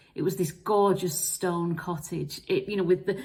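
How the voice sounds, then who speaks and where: A woman with an English accent. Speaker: marketing vlogger. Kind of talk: personal storytelling vlog. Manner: fast.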